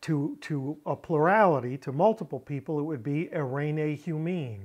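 At a fairly slow pace, a man speaks. The background is quiet. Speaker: Bible language teacher. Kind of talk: lecture. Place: home room.

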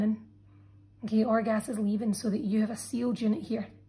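A woman speaks at a fairly quick pace in a somewhat breathy voice with a dark, mellow tone. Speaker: biology teacher. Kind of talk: tutorial.

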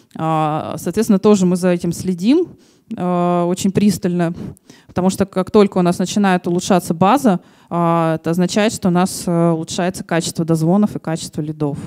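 A woman speaks with a dark, mellow tone and a fairly low pitch. Her intonation stays fairly even. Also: moderate pace, quiet background. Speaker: marketing manager; conference presenter. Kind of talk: conference talk. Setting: conference hall with audience. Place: hall. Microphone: handheld.

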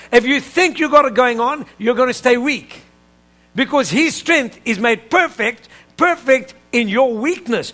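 An animated man with an extremely high pitch projects his voice at a fairly slow pace. The tone is bright and sharp, with ordinary pitch variation. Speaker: preacher. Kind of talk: sermon. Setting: church with live congregation. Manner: animated, call-and-response preaching; urgent, emphatic, pulpit cadence. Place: church.

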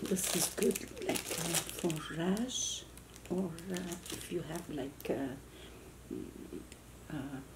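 A woman's very slow speech comes with noticeable background noise. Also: ordinary pitch variation. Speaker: home vlogger. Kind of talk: casual vlog chat. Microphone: camera far.

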